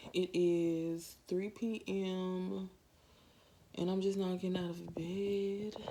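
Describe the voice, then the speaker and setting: A woman talks very slowly in a flat monotone at a medium pitch. Background noise is noticeable. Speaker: lifestyle vlogger. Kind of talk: casual vlog.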